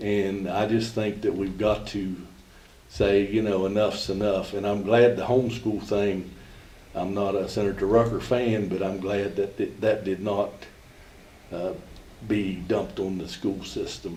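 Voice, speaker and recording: Spoken at a fairly slow pace in a flat, monotone delivery, the voice carries an audible room echo. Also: man, fairly low pitch for a man. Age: 70s. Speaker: golf coach. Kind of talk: public comment at board meeting. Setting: school board meeting.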